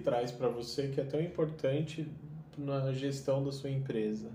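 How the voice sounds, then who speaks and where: Words come at a fairly slow pace. Noticeable background noise and audible room echo fill the recording. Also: man. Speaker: podcast host, business consultant. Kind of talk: interview.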